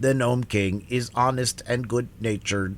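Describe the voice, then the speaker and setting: A man's put-on character voice with fairly even intonation over clear background noise. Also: medium pitch for a man, moderate pace. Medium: read story.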